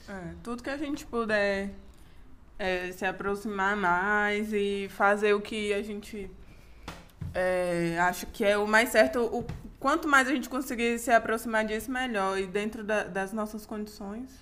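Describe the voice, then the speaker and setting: A normal speaking voice from a woman, medium in pitch, fairly slow, with ordinary pitch variation. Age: 20s. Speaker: podcast co-host. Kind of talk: casual chat.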